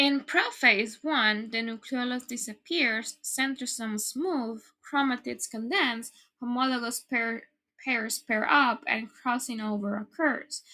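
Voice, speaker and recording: In a very clean recording with a silent background, a woman's high voice has a bright, sharp tone and moves at a fairly slow pace. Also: ordinary pitch variation. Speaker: student explaining biology. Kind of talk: educational narration.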